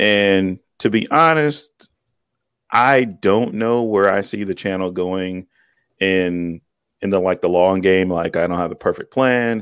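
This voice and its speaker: A man with an ordinary speaking voice talks fairly slowly at a fairly low pitch, with ordinary pitch variation. The recording is very clean with a silent background and a dry, close sound with no echo. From US Midwest, Cleveland, Ohio. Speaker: tech YouTuber, Navy veteran. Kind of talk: interview.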